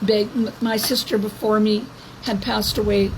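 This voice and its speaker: Speaking in a flat monotone with a Canadian accent, a woman with a fairly high voice is heard over noticeable background noise. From Canada. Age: 70s. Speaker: activist vlogger. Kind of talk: monologue to camera. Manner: halting.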